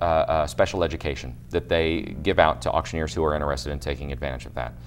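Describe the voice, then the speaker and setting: A man with a very deep, low voice and an American accent, talking very fast with hardly any pauses over background music. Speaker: auctioneer, international auctioneer champion. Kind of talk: interview answer, explanatory talk. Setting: news interview.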